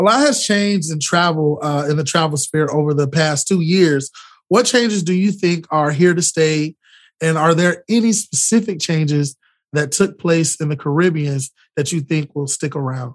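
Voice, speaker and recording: Speaking at a moderate pace with an American accent, a man uses a fairly high pitch and ordinary pitch variation. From Florida. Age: young. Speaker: podcast host, travel journalist. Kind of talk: interview. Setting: video call. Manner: animated.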